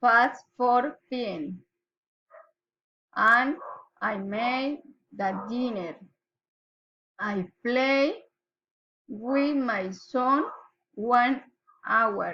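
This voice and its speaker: With a Colombian accent, a woman talks very slowly in a high, bright, sharp voice with ordinary pitch variation. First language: Spanish. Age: 20s. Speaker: pharmacy assistant. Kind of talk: student self-introduction recording. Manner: slow, read aloud.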